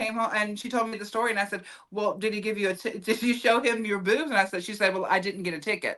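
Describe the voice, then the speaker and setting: Talking very fast in a Southern US accent, a woman uses an animated, fairly high voice with a bright, sharp tone. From US South. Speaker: comedian and actress. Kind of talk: casual chat.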